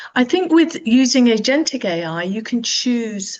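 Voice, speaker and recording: This voice carries a British accent. It moves at a fairly slow pace. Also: woman. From Britain. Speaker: business owner, panelist. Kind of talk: panel discussion.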